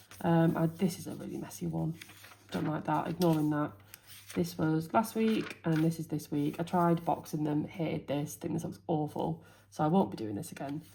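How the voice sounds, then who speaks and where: This woman has a very deep, low voice with a dark, mellow tone and a somewhat breathy quality. She talks at a moderate pace with fairly even intonation. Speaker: teacher and planner youtuber. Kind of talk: casual planner walkthrough.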